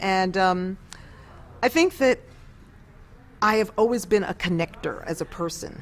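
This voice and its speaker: Speaking in a New York accent, a woman talks at a medium pitch with ordinary pitch variation. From New York City, East Harlem. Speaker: former opera singer. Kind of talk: interview.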